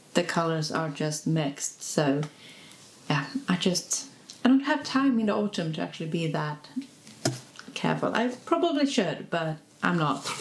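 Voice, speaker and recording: A woman with a Swedish accent, fairly low in pitch, with lively intonation, a moderate pace, long and frequent pauses, and noticeable background noise. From Sweden. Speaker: lifestyle vlogger. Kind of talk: casual vlog. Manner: casual, hesitant.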